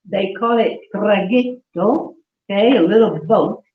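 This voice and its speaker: A woman talks at a very slow pace. Her pitch is fairly high, with ordinary variation. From central Italy (Umbria, Assisi). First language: Italian. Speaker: Italian culture teacher. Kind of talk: class for seniors. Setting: senior center class, livestreamed. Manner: animated.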